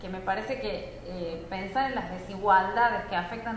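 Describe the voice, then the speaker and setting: A woman's pitch moves in an ordinary way as noticeable noise sounds in the background. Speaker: academic researcher and panel moderator. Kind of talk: moderated panel discussion. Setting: live event with audience.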